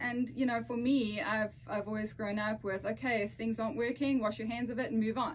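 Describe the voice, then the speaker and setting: Speaking with a South African accent at a moderate pace, the voice has hardly any pauses and ordinary pitch variation amid noticeable background noise. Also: woman. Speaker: podcast co-host. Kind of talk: casual chat.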